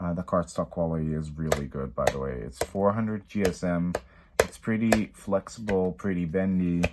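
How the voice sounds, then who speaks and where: Noticeable background noise sits under a man's very deep, low voice, which has ordinary pitch variation and a moderate pace. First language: not English. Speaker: tarot and oracle deck reviewer. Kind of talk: product review. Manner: animated.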